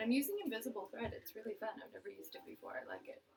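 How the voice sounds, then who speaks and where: A woman speaks softly. Her words come out mumbled. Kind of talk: casual talk to camera. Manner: mumbling, soft-spoken.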